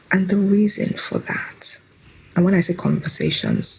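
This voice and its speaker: A woman's fairly slow speech is accompanied by noticeable background noise. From Nigeria. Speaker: mother, podcast guest. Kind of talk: interview answer.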